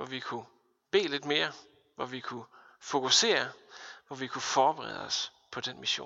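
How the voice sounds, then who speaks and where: A man talks at a fairly slow pace with a fairly high pitch. His pitch varies in an ordinary way. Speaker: pastor. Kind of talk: sermon.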